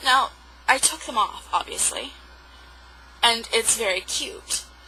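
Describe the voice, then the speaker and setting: A woman speaks very slowly in a high voice with very wide swings in pitch, against noticeable background noise. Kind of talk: casual talk to camera. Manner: rambling, hesitant.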